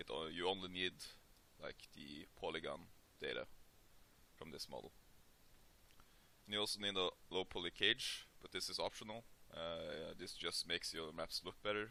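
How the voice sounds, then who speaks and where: With a Norwegian accent, a man talks at a moderate pace, leaving long, frequent pauses. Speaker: 3D modeling tutorial maker. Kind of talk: tutorial. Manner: hesitant, many filler sounds.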